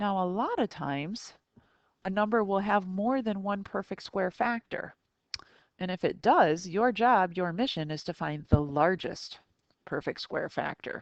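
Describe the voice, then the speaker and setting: Spoken in a plain, everyday voice, the delivery moves at a fairly slow pace with ordinary pitch variation. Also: woman, medium pitch for a woman. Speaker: math teacher. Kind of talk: recorded tutorial lesson.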